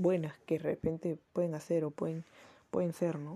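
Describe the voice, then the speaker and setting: With a Peruvian accent, a woman speaks at a moderate pace in a fairly low, somewhat breathy voice with a dark, mellow tone. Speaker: podcaster. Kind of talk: casual monologue.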